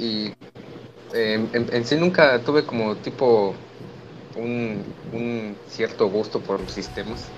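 A man with a Mexican accent speaks very slowly at a medium pitch with ordinary variation, leaving long, frequent pauses. Noticeable background noise is present. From Mexico, Huetamo, Michoacán. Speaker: university student. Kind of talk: casual chat. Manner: halting.

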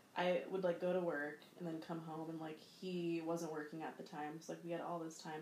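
A woman's fairly low, monotone, flat voice at a fairly quick pace, with audible room echo and noticeable background noise. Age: 30s. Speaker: podcast co-host. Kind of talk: casual chat.

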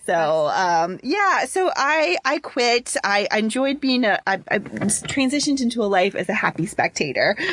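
A woman with an American accent speaks at a moderate pace with a high pitch, very wide pitch swings and very even loudness. She hardly pauses, and noticeable background noise runs underneath. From Cincinnati, Ohio, US. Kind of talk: casual chat.

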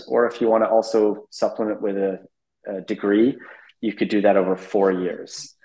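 Over a quiet background, a man with a Canadian accent speaks fairly quickly yet with long, frequent pauses, his fairly low, dark and mellow voice held in a flat monotone. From British Columbia, Canada. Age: 40s. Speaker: private jet pilot. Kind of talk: interview.

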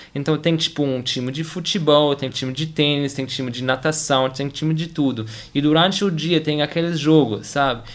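Speaking at a moderate pace with hardly any pauses, a man uses a fairly high pitch and fairly even intonation. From Germany. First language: German (speaking Portuguese). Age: 20s. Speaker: tennis player and engineer. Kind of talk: interview. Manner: halting, many repetitions and fillers.

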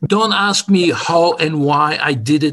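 His voice sits fairly high. It belongs to a man. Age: 60s. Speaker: motorsports engineer. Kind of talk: interview. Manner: halting.

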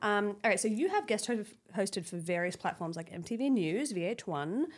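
In a very clean recording with a silent background, a woman speaks with an Australian accent. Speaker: podcast host. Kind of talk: interview.

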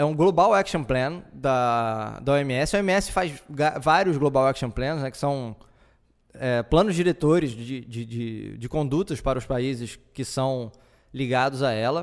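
A man speaks at medium pitch with ordinary pitch variation. His pace is fairly slow, on a very clean recording with a silent background. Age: 30s. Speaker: podcast host. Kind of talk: solo podcast monologue. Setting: home living room. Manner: halting, many fillers.

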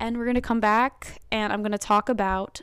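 This woman has an American accent and an ordinary speaking voice. Her pitch is medium, and her pace is moderate. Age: 20s. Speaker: podcast and live stream host, college student. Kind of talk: casual solo talk show monologue. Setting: live stream. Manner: casual, filler-heavy.

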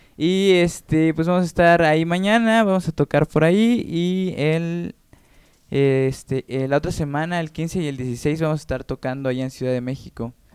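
A man with an unremarkable speaking voice, fairly high in pitch with ordinary pitch variation, speaks at a moderate pace in a dry, close sound with no echo. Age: 20s. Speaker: musician. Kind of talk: casual interview chat. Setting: radio studio.

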